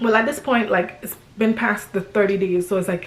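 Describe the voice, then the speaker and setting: Medium pitch from a woman speaking. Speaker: family vlogger. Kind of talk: casual storytime vlog. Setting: at home, filming by window light. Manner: halting, many fillers.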